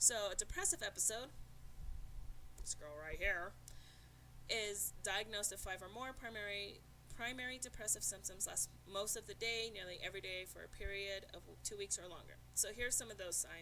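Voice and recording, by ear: Over noticeable background noise, a woman talks at a moderate pace, leaving long, frequent pauses.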